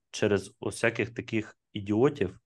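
Over a quiet background, a man talks in a fairly low-pitched voice. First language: Russian (speaking Ukrainian). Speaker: IT entrepreneur. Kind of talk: casual chat.

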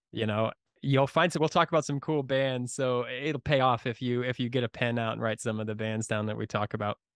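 The voice moves at a fairly quick pace with fairly even intonation, in a dry, close sound with no echo and a quiet background. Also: man, medium pitch for a man. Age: 30s. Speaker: podcast host. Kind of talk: casual chat. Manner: halting.

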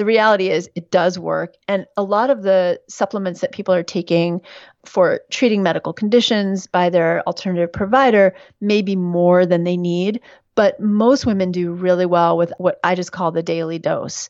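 This woman has a normal speaking voice with an American accent and a medium pitch. She talks at a moderate pace with fairly even intonation. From New York City. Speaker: physician and midwife. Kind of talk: interview.

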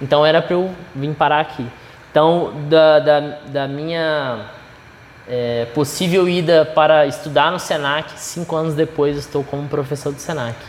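A man talks at a fairly slow pace in a fairly high voice with fairly even intonation. Background noise can be heard clearly. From Minas Gerais, Brazil. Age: 20s. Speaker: chef and culinary instructor. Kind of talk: casual chat.

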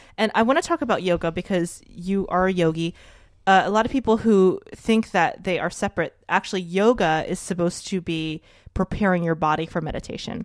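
A woman speaks in an ordinary speaking voice at a fairly quick pace, with medium pitch and ordinary pitch variation. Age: 30s. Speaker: podcast host. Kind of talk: casual interview chat. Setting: home living room.

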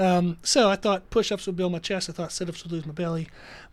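The recording is very clean, with a silent background. A man speaks in a high pitch. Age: 30s. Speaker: gym owner and personal trainer. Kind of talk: interview.

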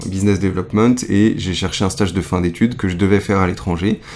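A man talks at a fairly quick pace in a very deep, low voice with monotone, flat intonation. Noticeable background noise runs underneath. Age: 20s. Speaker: economic attaché for innovation. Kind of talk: interview. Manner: hesitant, many fillers.

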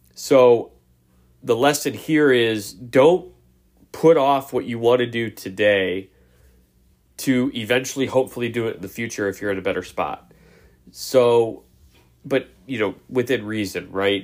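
In a very clean recording with a silent background, a man with a plain, everyday voice speaks fairly slowly at a medium pitch with ordinary pitch variation. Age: 30s. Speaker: motivational podcast host. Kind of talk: motivational monologue.

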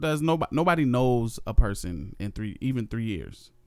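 In an American accent, an ordinary speaking voice moves at a moderate pace with lively intonation. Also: man. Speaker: podcast co-host. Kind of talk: casual chat. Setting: home recording.

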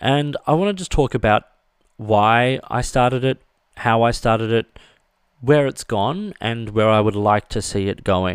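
Dry and close with no echo, a man with an Australian accent is heard in a very clean recording with a silent background. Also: medium pitch for a man, ordinary pitch variation, fairly slow pace. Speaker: stationery reviewer and podcast host. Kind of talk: solo podcast monologue. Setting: studio.

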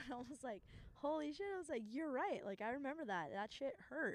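Talking at a very fast pace, a woman with an American accent makes very wide pitch swings. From Southern California, Fountain Valley. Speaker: EMS worker. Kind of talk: casual chat. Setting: on location at a high school.

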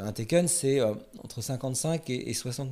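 A dark, mellow male tone, captured very cleanly over a silent background. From France, Paris suburbs. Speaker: film director. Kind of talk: interview.

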